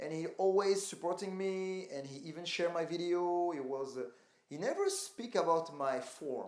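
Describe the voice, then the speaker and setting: A man talks at a high pitch with ordinary pitch variation, and audible room echo is present. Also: moderate pace. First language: not English. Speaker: calisthenics athlete. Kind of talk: interview. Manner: halting.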